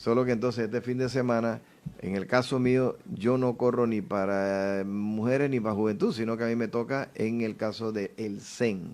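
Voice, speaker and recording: A man has an unremarkable speaking voice at a medium pitch. He talks at a moderate pace with fairly even intonation. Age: 60s. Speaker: politician. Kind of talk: interview.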